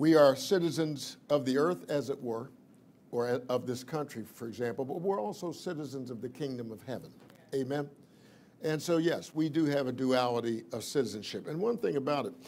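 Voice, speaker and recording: Lively intonation marks a man's speech at a moderate pace. Light background noise runs underneath. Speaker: preacher. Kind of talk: sermon.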